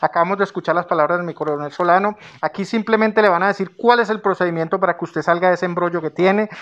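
A very fast pace with hardly any pauses and fairly even intonation. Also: man, high pitch for a man. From Colombia. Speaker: news channel host, interviewer. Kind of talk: interview. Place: office. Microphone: handheld.

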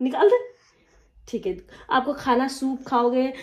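Here a woman speaks with a high pitch. Her pitch variation is ordinary. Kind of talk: casual vlog chat. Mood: worried, soothing. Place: kitchen. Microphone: phone near.

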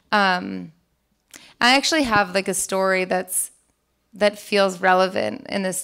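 Woman speaking at a fairly slow pace against a quiet background. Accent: American. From Boston, US. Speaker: TV creator. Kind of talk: interview on stage. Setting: conference stage with audience. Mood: reflective, candid, somewhat emotional. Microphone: handheld.

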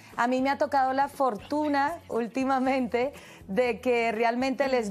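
Her voice is high-pitched and she talks at a fairly slow pace. The woman's pitch varies in an ordinary way. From Cuba. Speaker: actress. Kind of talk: TV interview answer. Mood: warm, upbeat. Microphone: lapel.

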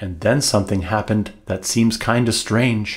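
A man's somewhat breathy voice at a fairly slow pace, over a quiet background. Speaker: author. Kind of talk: humorous rhyming book reading. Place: home room.

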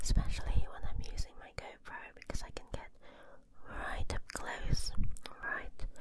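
A soft-spoken woman whispers at a fairly slow pace through loud background noise. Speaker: ASMR creator. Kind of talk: soft-spoken ASMR chat. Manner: soft close-mic whisper. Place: home room. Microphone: handheld.

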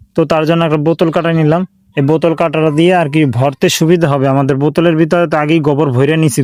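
In a Bangladeshi accent, a man speaks with a fairly high pitch, monotone, flat intonation and very even loudness. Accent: regional Bangladeshi dialect. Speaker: YouTube DIY creator. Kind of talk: tutorial. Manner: casual, informal.

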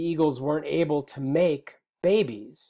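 A man talks at a moderate pace, and the background is quiet. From US Midwest (Wisconsin, Lake Michigan). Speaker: college biology instructor; instructor. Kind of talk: lecture. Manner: hesitant with frequent fillers and repetitions. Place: home room. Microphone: webcam.

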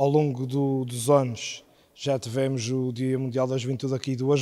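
Against a quiet background, a man speaks with monotone, flat intonation and a dark, mellow tone. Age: 20s. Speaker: youth group member. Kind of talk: interview. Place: church. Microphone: handheld.

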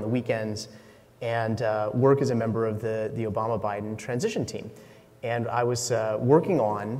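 Fairly even intonation and a moderate pace from a man. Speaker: conference speaker. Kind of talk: conference talk. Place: stage.

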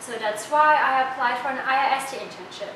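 A woman's voice with noticeable background noise and audible room echo. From Germany. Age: 20s. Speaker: student intern. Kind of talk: testimonial.

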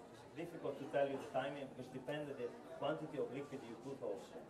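Over noticeable background noise, a man with a fairly high pitch talks at a very fast pace with fairly even intonation. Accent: Italian. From Italy. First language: Italian. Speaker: chef. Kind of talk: cooking demonstration. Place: shop.

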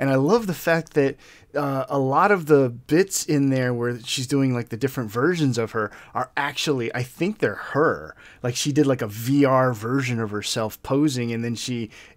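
In a quiet background, a man talks at a moderate pace, his pitch varying in an ordinary way. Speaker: reaction video host. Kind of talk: commentary. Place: home room.

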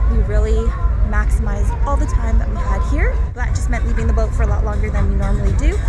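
Against loud background music, a woman speaks at a very fast pace in a dry recording with no echo. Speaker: sailing vlogger. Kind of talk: casual vlog chat. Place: waterside. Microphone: phone near.

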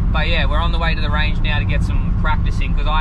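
The sound is dry with no echo. Music plays in the background. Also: man. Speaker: vlogger. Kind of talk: casual vlog chat. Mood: relaxed, upbeat. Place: car. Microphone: phone near.

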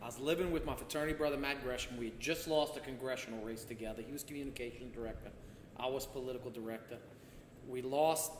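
At a very fast pace, a man with a medium-pitched voice speaks with fairly even intonation, with light background noise and audible room echo. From Louisiana. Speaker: former state senator. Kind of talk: casual chat. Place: home room. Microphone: camera far.

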